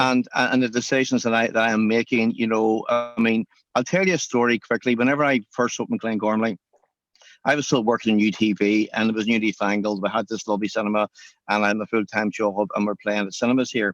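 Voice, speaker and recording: A man with a Northern Irish accent at a medium pitch, very fast pace and fairly even intonation, in a dry, close recording with no echo and a quiet background. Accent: Northern Irish (Belfast). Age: 60s. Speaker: cinema chain owner, entrepreneur. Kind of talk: interview.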